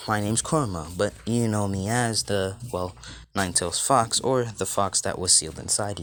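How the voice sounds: A man's raspy, put-on character voice at a fairly low pitch, with ordinary pitch variation and a moderate pace, on a very clean recording with a silent background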